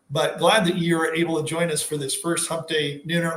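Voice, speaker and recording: A man's high voice at a fairly quick pace, with audible room echo. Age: 40s. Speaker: livestream host. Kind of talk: casual livestream monologue. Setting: livestream. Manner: rambling, self-interrupting.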